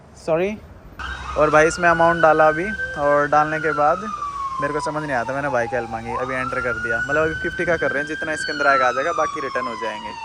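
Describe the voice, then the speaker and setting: A man speaks at a moderate pace. The recording has noticeable background noise and audible room echo. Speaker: travel vlogger. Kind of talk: casual vlog narration. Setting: outdoors at petrol station. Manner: casual, conversational.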